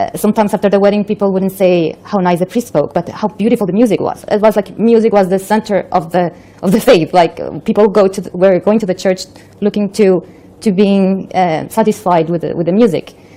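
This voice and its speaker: A woman speaks at a medium pitch with fairly even intonation and a fairly quick pace. Noticeable background noise sits behind her voice. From Colombia. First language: Spanish. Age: 40s. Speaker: convert telling her story. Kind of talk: testimony. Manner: halting.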